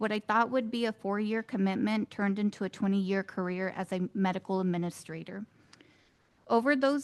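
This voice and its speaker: A woman speaks in an ordinary speaking voice at a moderate pace, her medium pitch rising and falling in ordinary measure over a quiet background. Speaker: student veteran. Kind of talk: prepared speech. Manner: formal.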